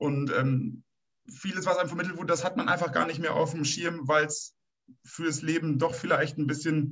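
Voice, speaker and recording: A man with a fairly high pitch and an unremarkable speaking voice talks at a moderate pace with fairly even intonation. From northern Germany, Münsterland. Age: 30s. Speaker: plumber and state election candidate. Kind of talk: political discussion.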